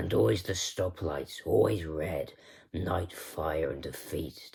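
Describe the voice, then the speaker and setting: Someone puts on a raspy character voice and speaks at a fairly slow pace. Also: man, very deep, low pitch for a man. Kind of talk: spoken-word poetry reading. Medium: read story. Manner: slow, deadpan, measured.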